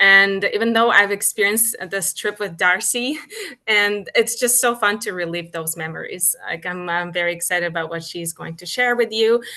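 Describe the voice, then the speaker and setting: A woman with a Ukrainian accent, big swings in loudness, and noticeable background noise. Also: medium pitch for a woman, ordinary pitch variation, moderate pace. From Ukraine. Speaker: cruise line business development manager. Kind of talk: webinar introduction. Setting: hotel room, video call.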